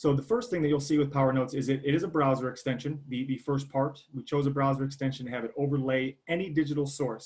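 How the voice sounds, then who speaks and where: Speaking at a very fast pace, a man uses a somewhat breathy voice pitched fairly high. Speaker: software product presenter. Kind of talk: product demo.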